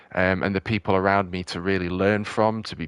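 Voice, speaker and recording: A man speaks at a moderate pace in a fairly low pitch with ordinary pitch variation, the sound dry and close with no echo. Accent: British. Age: 30s. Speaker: gaming streamer. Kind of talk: casual chat. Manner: halting.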